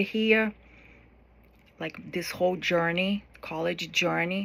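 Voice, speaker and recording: Her delivery is flat and monotone as the woman speaks at a very slow pace. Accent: non-native. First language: not English. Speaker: college student. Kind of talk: class speech. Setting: recorded to camera. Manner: hesitant, with fillers.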